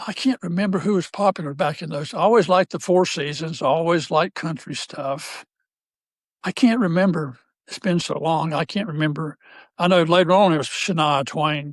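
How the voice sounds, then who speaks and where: A man's high-pitched voice with a North Carolina accent at a fairly quick pace, recorded dry and close with no echo against a quiet background. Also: ordinary pitch variation. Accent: Southern US (North Carolina). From US South, North Carolina. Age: 70s. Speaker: retired basketball coach. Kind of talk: casual interview chat. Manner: halting.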